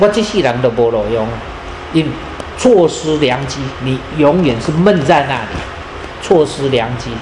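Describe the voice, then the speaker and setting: A man with a Taiwanese accent speaks at a fairly slow pace with a fairly high pitch, lively intonation and long, frequent pauses. Room echo is audible, along with noticeable background noise. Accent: Taiwanese Hokkien-accented Mandarin. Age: 80s+. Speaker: moral teacher. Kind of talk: lecture. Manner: rambling, halting with fillers.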